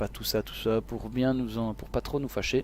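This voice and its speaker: In a Belgian accent, a man talks at a moderate pace. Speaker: esports commentator. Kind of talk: live commentary. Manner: animated.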